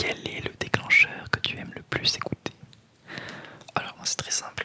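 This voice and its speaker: A woman whispers at a fairly slow pace, her loudness swinging widely, with noticeable background noise behind her. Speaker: ASMR content creator. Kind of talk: casual talk to camera, ASMR tag Q&A. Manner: soft-spoken, whispering.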